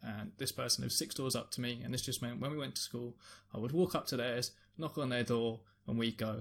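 A man with a London accent and a medium pitch, talking at a very fast pace with vocal fry and fairly even intonation, on a very clean recording with a silent background. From London, England. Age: 20s. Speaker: streamer and music producer. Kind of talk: personal testimony. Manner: halting, repeats words.

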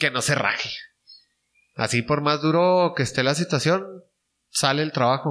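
Pausing long and often, a man speaks at a moderate pace in a fairly high, bright, sharp voice, with ordinary pitch variation and very even loudness against a quiet background. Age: 30s. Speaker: small business owner. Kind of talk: casual interview chat.

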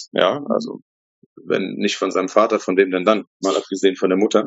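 A man is speaking. His pace is moderate. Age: 40s. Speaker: coworking space founder. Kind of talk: casual interview.

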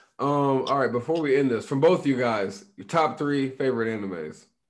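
With an American accent, a man speaks at a fairly quick pace and a medium pitch. His is a plain, everyday voice with lively intonation. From Illinois. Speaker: podcast host. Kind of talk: casual chat.

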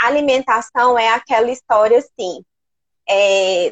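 At a fairly slow pace, a woman speaks in a fairly high pitch with ordinary pitch variation. She has an unremarkable speaking voice. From Rondônia, Brazil. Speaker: nutritionist. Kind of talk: live stream interview.

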